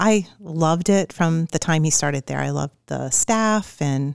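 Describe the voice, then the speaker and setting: Her voice, an unremarkable speaking voice, sits fairly low for a woman and moves at a fairly slow pace. The sound is dry and close with no echo, with ordinary pitch variation. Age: 50s. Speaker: preschool director. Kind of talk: casual chat.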